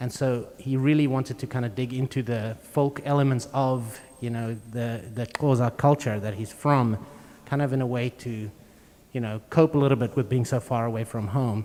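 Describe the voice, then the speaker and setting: A man with a South African accent speaks at a moderate pace. His tone is dark and mellow, his intonation fairly even. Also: medium pitch for a man. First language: Afrikaans. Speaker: string quartet musician. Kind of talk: live interview at a concert.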